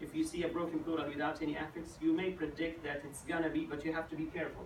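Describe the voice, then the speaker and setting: A man with an Arabic accent speaks very fast at a high pitch, in a monotone, flat intonation. Audible room echo and noticeable background noise surround him. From Saudi Arabia, Najd. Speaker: graduate student. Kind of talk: thesis defense Q&A. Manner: halting.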